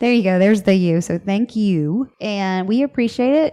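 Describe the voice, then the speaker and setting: A woman's lively intonation in a Southern US accent, with a dark, mellow tone. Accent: Southern US, city. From US South. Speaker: podcast host. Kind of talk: casual chat. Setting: home office. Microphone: echoey room.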